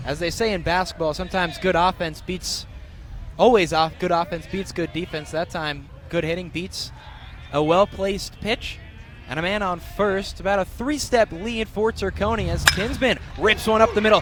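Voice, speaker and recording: This man's voice is high in pitch and varies in an ordinary way, at a moderate pace. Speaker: student sports broadcaster. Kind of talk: radio baseball play-by-play.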